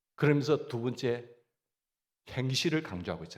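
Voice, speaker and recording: A man with a Gyeongsang accent and vocal fry. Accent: Gyeongsang dialect, stress at front. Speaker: pastor. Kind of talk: sermon.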